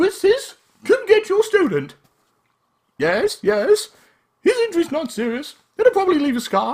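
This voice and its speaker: Someone in a put-on character voice moves at a moderate pace, with long, frequent pauses. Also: man, extremely high pitch for a man. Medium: game stream. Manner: brisk, bossy.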